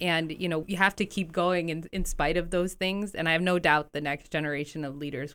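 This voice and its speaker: In a very clean recording with a silent background, a woman with an American accent uses a normal speaking voice, a fairly low pitch with ordinary variation, and a moderate pace. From Bethlehem, Pennsylvania, US. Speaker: community development director. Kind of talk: radio interview.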